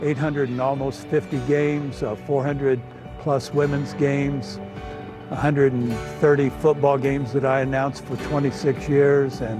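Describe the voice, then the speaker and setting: Music plays in the background as a man talks with an American accent. His pitch is fairly high and his intonation fairly even. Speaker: retired public address announcer. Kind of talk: interview answer. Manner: reflective, sentimental, hesitant.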